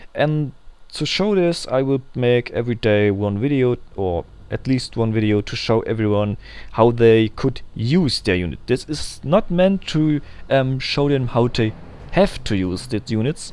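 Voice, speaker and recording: The speaker has a non-native accent and speaks at a fairly slow pace with lively intonation. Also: man, medium pitch for a man. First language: German. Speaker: gaming video creator. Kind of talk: gameplay tutorial. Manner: halting, frequent ums.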